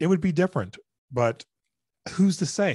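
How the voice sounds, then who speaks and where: Recorded dry and close with no echo over a quiet background, a man with a normal speaking voice talks at a moderate pace with ordinary pitch variation. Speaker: mental health advocate and public speaker. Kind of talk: casual interview chat. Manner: casual, conversational.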